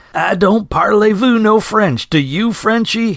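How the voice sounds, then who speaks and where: Using a put-on character voice, a man speaks in a guttural, high pitch with ordinary pitch variation at a fairly slow pace. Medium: read story. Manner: crude, coarse.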